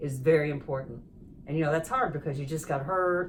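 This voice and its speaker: A woman's very deep, low pitch comes through at a moderate pace. There is audible room echo and noticeable background noise. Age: 60s. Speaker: rehabilitation patient. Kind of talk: interview. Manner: halting.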